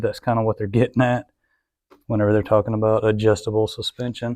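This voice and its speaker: This man speaks at a medium pitch with a dark, mellow tone. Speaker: motorcycle reviewer. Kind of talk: product review. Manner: casual, halting with fillers.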